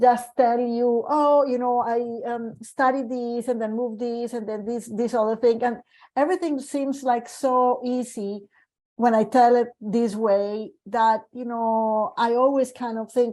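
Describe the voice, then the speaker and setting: A woman speaks at a fairly slow pace with a Colombian accent, her high-pitched voice carrying a dark, mellow tone and fairly even intonation over a quiet background. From Colombia, Medellin. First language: Spanish. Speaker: medical geneticist. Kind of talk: panel discussion. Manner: hesitant, with many fillers.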